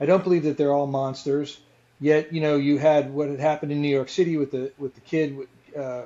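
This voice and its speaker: Here a man speaks at a fairly quick pace. His pitch is fairly high. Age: 60s. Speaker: podcast co-host living with Parkinson's. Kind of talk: casual chat. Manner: animated; halting.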